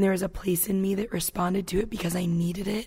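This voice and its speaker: A woman's medium-pitched, somewhat breathy voice, fairly quick, with fairly even intonation. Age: 20s. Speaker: camp staff member. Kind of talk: interview testimony.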